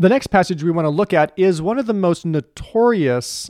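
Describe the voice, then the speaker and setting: A man at a moderate pace, lively in intonation, against a quiet background. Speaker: Bible scholar. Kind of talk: scholarly discussion. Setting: studio.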